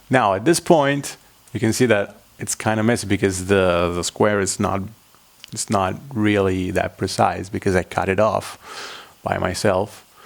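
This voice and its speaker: Noticeable background noise under a man's fairly low-pitched voice, moderately paced, with ordinary pitch variation. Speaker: origami tutorial maker. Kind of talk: tutorial. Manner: halting.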